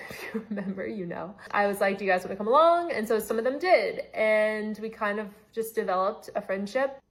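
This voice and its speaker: Amid noticeable background noise, a woman with a fairly high pitch speaks at a moderate pace with ordinary pitch variation and big swings in loudness. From Los Angeles, California (born in Atlanta). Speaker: storytime content creator. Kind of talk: casual storytelling. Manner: casual, filler-heavy.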